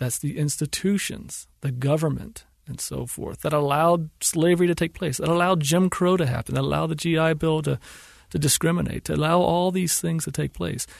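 In a normal speaking voice with an American accent, a man with a fairly high pitch talks at a fairly quick pace with fairly even intonation against a quiet background. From US South. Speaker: filmmaker. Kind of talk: interview. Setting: studio.

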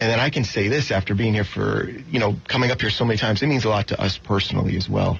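Noticeable background noise sits behind a man with an American accent and a fairly low pitch. He talks very fast with hardly any pauses, ordinary pitch variation and very even loudness. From Florida. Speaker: car show director. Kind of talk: radio interview.

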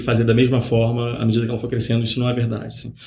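This man's voice has a somewhat breathy quality. He speaks at a very fast pace. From Rio de Janeiro, Brazil. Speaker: startup founder, former executive. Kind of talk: interview. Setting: podcast.

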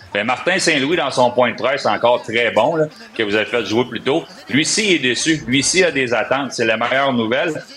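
Noticeable background noise sits under this recording. The man talks at a moderate pace. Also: medium pitch for a man, ordinary pitch variation. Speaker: hockey analyst. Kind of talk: sports talk.

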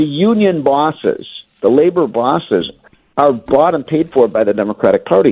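A man with a normal speaking voice, fairly high in pitch, with lively intonation at a moderate pace, in a dry, close sound with no echo. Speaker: economist and guest commentator. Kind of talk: radio interview.

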